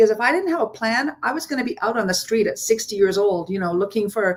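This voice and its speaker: A woman with a medium pitch and ordinary pitch variation speaks in a plain, everyday voice. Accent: Canadian. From Ontario, Canada. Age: 60s. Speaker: entrepreneur. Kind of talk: panel testimony.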